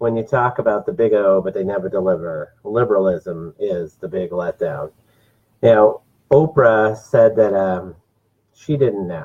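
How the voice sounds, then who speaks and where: Speaking slowly but not too slowly, a man with an American accent has a plain, everyday voice and a fairly low pitch. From New Jersey. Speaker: political talk show host. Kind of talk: political commentary monologue. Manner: frequent filler words.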